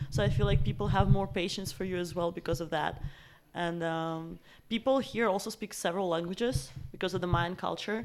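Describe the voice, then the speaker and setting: The speaker talks at a fairly quick pace with a Russian accent. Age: 20s. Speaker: language student. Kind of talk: interview.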